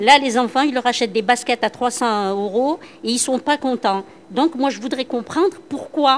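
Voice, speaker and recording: A woman talks at a moderate pace with a high pitch. Her pitch variation is ordinary. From Algeria, Constantine. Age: 60s. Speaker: workshop participant, former school supervisor. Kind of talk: group discussion. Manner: hesitant, repetitive.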